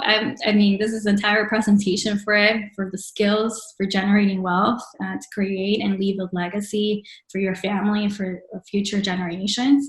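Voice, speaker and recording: A woman with a Spanish accent at a moderate pace, her intonation fairly even. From Mexico, Monterrey. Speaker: entrepreneurship program speaker. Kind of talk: webinar presentation. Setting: virtual webinar. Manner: hesitant, many fillers.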